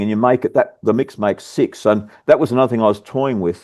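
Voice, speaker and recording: A very fast man with an Australian accent, medium pitch, fairly even intonation and a dry, close sound with no echo. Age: 60s. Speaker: bakery business owner. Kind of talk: casual chat. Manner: halting.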